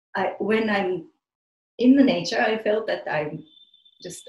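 A woman speaks with a Japanese accent and a somewhat breathy voice. Her intonation is lively. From Japan, outside Tokyo. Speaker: spiritual community member. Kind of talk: interview, personal life story. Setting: remote call. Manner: halting.

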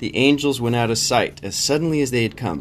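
Here is a man with a plain, everyday voice at a medium pitch. He talks at a moderate pace. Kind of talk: bedtime story reading aloud with discussion questions. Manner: gentle, soothing, measured storytelling pace.

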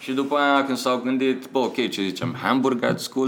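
A man talks at a moderate pace in a medium-pitched voice. Music plays in the background. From Romania, Pitești. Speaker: advertising creative director. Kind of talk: casual interview chat.

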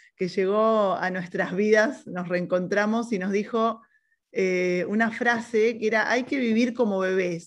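Here is a woman with a normal speaking voice and a fairly high pitch. She talks at a fairly slow pace. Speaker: podcast co-host. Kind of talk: casual chat.

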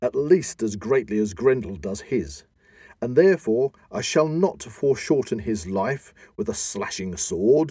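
A man's dark, mellow voice at a fairly slow pace, with very wide pitch swings, on a very clean recording with a silent background. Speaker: podcast host. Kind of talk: dramatic reading of an epic poem. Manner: dramatic, theatrical, declamatory.

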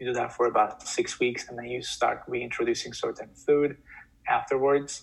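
This is a man speaking with a Turkish accent. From Turkey. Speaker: podcast guest, healthcare entrepreneur. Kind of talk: interview, personal story. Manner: filler-heavy, repeats words.

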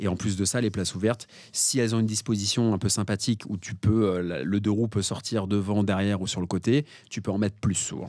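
A man with an unremarkable speaking voice talks at a fairly quick pace, his pitch fairly low and his intonation fairly even, on a very clean recording with a silent background. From Paris, France. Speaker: parking investor and author. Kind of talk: podcast interview.

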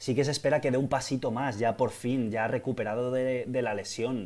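Using an unremarkable speaking voice, a man of medium pitch talks at a moderate pace with fairly even intonation. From Valencia, Spain. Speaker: football podcast co-host. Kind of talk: casual chat.

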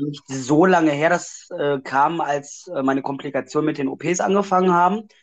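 A man with a fairly high pitch has an ordinary speaking voice. He talks at a moderate pace with hardly any pauses and fairly even intonation. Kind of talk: personal testimony. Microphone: connection dropouts.

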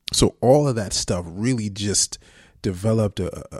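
On a very clean recording with a silent background, a man speaks at a fairly slow pace. His voice is somewhat breathy, with ordinary pitch variation. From Jersey City, New Jersey. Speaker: actor. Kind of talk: casual interview.

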